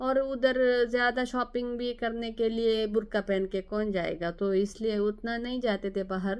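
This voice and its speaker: This woman's voice sits fairly high, with fairly even intonation. She speaks with hardly any pauses. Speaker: nurse and vlogger. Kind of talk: personal vlog storytelling. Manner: halting, with hesitations.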